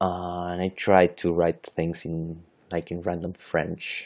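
Against a quiet background, a man with a Chilean Spanish accent speaks at a very slow pace in a very deep, low pitch. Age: 30s. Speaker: podcast host, historian and language learner. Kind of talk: unscripted solo monologue. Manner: halting, many restarts and fillers.

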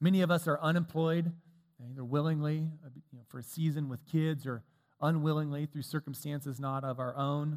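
In an ordinary speaking voice, a man talks at a fairly quick pace with a fairly high pitch, fairly even intonation and big swings in loudness. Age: 40s. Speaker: preacher. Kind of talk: sermon.

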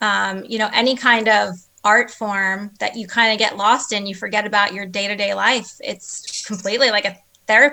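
Her tone is bright and sharp, with a fairly high pitch and an American accent. The woman keeps a moderate pace and fairly even intonation. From New Jersey. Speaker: small business co-founder. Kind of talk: casual interview.

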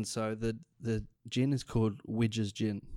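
With an Australian accent, a man speaks at a fairly slow pace and fairly low pitch, his tone dark and mellow and his intonation fairly even, in a very clean recording with a silent background. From Australia, Queensland Sunshine Coast. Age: 30s. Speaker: drinks company creative director and gin maker. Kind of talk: casual interview.

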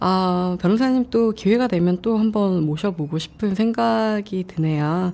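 A woman with an ordinary speaking voice talks at a fairly slow pace, her pitch medium and her loudness very even. She hardly pauses at all. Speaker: podcast host. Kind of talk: casual interview chat. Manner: laughs often, playful.

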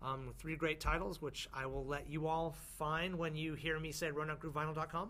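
In an American accent, a man with a fairly high pitch and a bright, sharp tone speaks at a moderate pace with monotone, flat intonation, and audible room echo surrounds him. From northern California (small town near Mount Shasta). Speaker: music industry executive. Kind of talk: interview. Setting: basement studio at a music conference.

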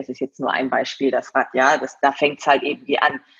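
Here a woman is speaking. Her pace is moderate. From East Frisia, northern Germany (Leer). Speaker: TV presenter and event host. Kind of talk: casual interview.

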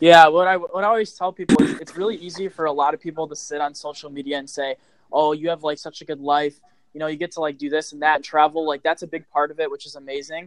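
A man with a fairly high pitch talks at a very fast pace, his loudness swinging widely while his intonation stays fairly even, in a dry, close sound with no echo. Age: 20s. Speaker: social media influencer. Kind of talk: casual interview.

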